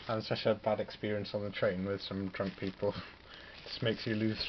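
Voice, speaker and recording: This man talks at a very fast pace in a Welsh accent, his pitch fairly low. His intonation is monotone and flat, with noticeable background noise behind him. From Wales, Pembrokeshire. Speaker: hobbyist wargamer, student. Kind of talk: casual vlog ramble. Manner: casual, hesitant with fillers.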